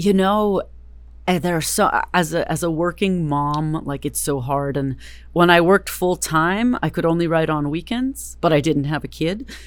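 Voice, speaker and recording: A woman with a very deep, low pitch and an American accent is heard on a very clean recording with a silent background. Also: ordinary pitch variation, moderate pace. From US West Coast, Berkeley, California. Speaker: novelist. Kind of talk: interview.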